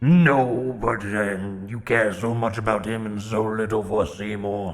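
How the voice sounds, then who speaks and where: A man puts on a character voice, pitched fairly low for a man. He speaks at a fairly slow pace with faint music in the background. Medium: actual play. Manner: whiny, mocking, petulant.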